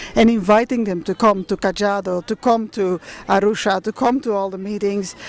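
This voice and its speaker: With a non-native accent, a woman speaks at a moderate pace in a fairly high pitch. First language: not English. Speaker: museum representative returning cultural objects. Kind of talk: public talk at a meeting. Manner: halting.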